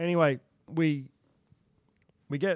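Dry and close with no echo, a man's voice carries an Australian accent. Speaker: former bull rider and cow horse trainer. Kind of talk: casual chat, storytelling. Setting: studio.

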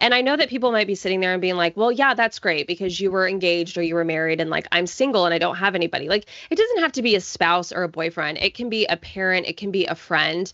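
Someone with an American accent talks at a very fast pace with hardly any pauses and ordinary pitch variation. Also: woman, medium pitch for a woman. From US South. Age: 30s. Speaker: personal finance blogger. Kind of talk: interview.

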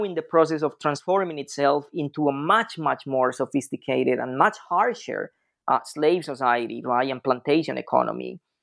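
A man speaks with a Spanish accent at a moderate pace. The background is quiet. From Colombia, Andean highlands. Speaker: history professor. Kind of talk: interview. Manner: halting, many fillers.

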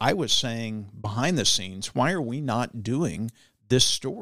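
In an ordinary speaking voice, a man with an American accent talks at medium pitch and a fairly slow pace on a very clean recording with a silent background. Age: 50s. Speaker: politician and former TV news anchor. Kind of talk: casual interview. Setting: studio.

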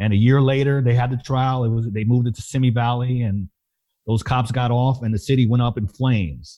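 A man speaks in a normal speaking voice with an American accent, at medium pitch. His pace is fairly quick and his intonation fairly even. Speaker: nonprofit communications executive. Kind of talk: personal testimony.

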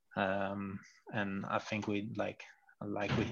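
Against a quiet background, a man speaks with a Dutch accent. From Netherlands. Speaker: cycling team coach and sports scientist. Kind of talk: interview. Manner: halting, many hesitations.

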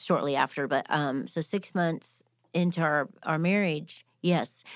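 An ordinary speaking voice from a woman, fairly low in pitch, at a fairly slow pace, in a very clean recording with a silent background. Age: 50s. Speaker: nonprofit co-founder and author. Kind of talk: casual chat.

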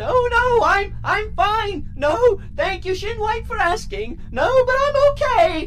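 A woman's squeaky put-on character voice at an extremely high pitch, very slow yet with hardly any pauses, over noticeable background noise. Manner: shouting, on edge.

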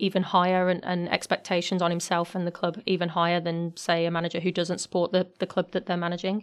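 With a British accent and a medium pitch, a woman talks at a very fast pace with hardly any pauses in a very clean recording with a silent background. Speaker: podcast host. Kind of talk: casual chat.

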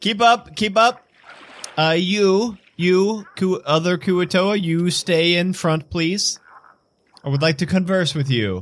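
A man's croaky, put-on character voice, high-pitched, at a fairly slow pace with long, frequent pauses. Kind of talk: comic put-on game master voice. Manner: friendly, eager, a bit pushy.

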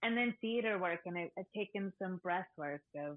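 With an unremarkable speaking voice, a woman talks at a moderate pace in a fairly low pitch, with ordinary pitch variation. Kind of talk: casual chat.

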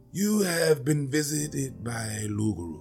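At a moderate pace, the speaker puts on a character voice. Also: man, medium pitch for a man. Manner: grave.

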